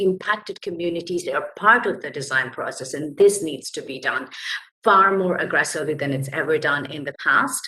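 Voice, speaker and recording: The speech goes at a moderate pace over noticeable background noise. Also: woman. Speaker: labour rights advocate. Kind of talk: panel presentation.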